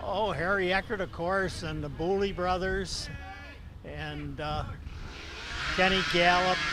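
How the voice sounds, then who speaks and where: Speaking with an American accent, a man moves at a fairly slow pace with long, frequent pauses. Both audible room echo and noticeable background noise are present. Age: 80s+. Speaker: retired race car driver. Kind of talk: interview.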